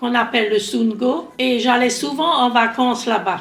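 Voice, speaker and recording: Music plays behind a woman with a high pitch, and the room echo is audible. She speaks at a fairly slow pace. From Alsace, near Mulhouse. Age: 80s+. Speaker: grandparent sharing war memories. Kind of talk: testimony.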